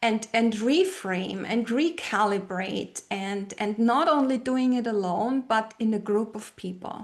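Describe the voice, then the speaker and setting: A woman talks with a German accent at a fairly slow pace. Her pitch is fairly high, with ordinary variation. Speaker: brand identity strategist and retreat leader. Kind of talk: podcast interview. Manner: hesitant, with many fillers and repeated words.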